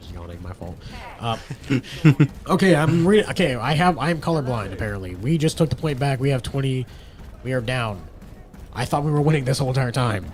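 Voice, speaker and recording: The speech moves at a fairly quick pace with very wide pitch swings. Long, frequent pauses break it up, and noticeable background noise sits underneath. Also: man, medium pitch for a man. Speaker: esports caster. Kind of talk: live commentary. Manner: animated.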